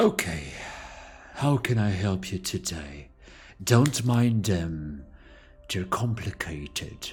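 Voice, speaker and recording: Over clear background music, a man in a put-on character voice speaks at a very deep, low pitch and a very slow pace, with lively intonation and long, frequent pauses. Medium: actual play. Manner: calm.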